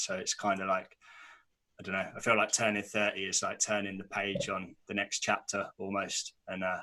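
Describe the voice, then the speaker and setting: This man has a British accent and a fairly low pitch. His tone is bright and sharp, his pace moderate and his delivery monotone and flat. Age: 20s. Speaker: podcast host. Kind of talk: casual chat.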